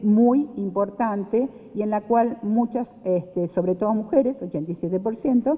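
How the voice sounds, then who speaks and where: Over noticeable background noise, a woman talks at a fairly slow pace in a fairly high voice with ordinary pitch variation. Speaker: panel speaker on social security. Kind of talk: conference talk. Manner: hesitant, many fillers.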